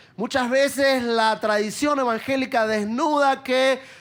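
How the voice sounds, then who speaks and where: The speaker has an Argentine accent. The delivery is fairly slow. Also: man. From Argentina. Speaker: preacher. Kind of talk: sermon.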